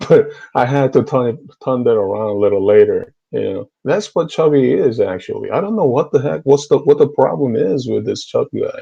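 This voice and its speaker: With a Korean accent, a man talks at a fairly quick pace. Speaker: YouTube debater on theology. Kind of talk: heated debate. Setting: online group video call. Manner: animated.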